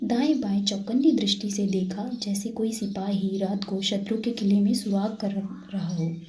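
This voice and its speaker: Clearly audible background noise behind a quiet-voiced woman. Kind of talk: read story. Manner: soft-spoken.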